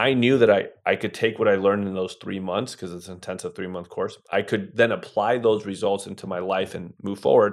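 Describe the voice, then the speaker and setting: With an ordinary speaking voice, a man talks fairly quickly at a fairly low pitch, with fairly even intonation, big swings in loudness and hardly any pauses. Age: 30s. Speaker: real estate investor, former professional poker player. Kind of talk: interview conversation.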